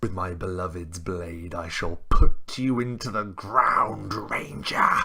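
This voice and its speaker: A man uses a put-on character voice, growling and hissing in a menacing tone. His pitch is very deep and low, and his pace fairly slow. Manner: hissing, menacing.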